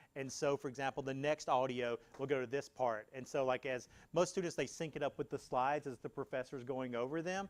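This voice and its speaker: In a dry, close sound with no echo, a man speaks at a medium pitch and a fairly quick pace with fairly even intonation. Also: very clean recording, silent background. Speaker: workshop presenter, accessibility technology staff. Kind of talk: workshop Q&A. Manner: loud, projecting.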